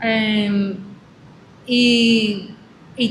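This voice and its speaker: Over noticeable background noise and audible room echo, a woman with a non-native accent speaks at a fairly high pitch with fairly even intonation. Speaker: agroecology expert. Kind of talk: interview. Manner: halting.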